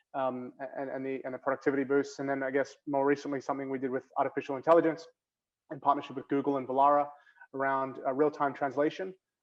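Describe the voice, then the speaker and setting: Talking at a very fast pace, a man with an Australian accent has a fairly high pitch and monotone, flat intonation. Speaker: bank innovation executive. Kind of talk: panel discussion. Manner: hesitant, many fillers.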